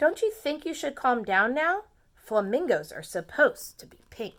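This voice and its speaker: A woman's high, put-on character voice, with very wide pitch swings and big swings in loudness, in a very clean recording with a silent background. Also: moderate pace. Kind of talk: preschool read-aloud. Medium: read story.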